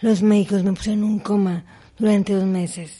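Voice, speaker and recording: A woman speaks at a moderate pace and medium pitch, her dark, mellow tone somewhat breathy and her intonation monotone and flat. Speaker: accident survivor and motivational speaker. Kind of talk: interview testimony. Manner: halting.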